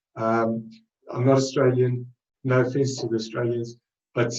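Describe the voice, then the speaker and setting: In a South African accent, a man talks at a fairly quick pace with a medium pitch. His voice is somewhat breathy and his intonation monotone and flat. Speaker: trading webinar presenter. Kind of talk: webinar presentation. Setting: live webinar. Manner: halting, many fillers.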